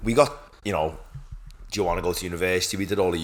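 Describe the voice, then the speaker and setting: In a Liverpool accent, a man speaks at a very deep, low pitch. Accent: Scouse (Liverpool). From Liverpool, Croxteth. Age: 20s. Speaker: podcast co-host, PhD student. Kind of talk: casual chat.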